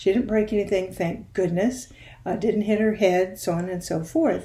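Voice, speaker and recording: Somewhat breathy, a woman's dark, mellow tone moves at a moderate pace. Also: medium pitch for a woman, ordinary pitch variation. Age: 70s. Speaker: video series host. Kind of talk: personal storytelling. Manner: conversational.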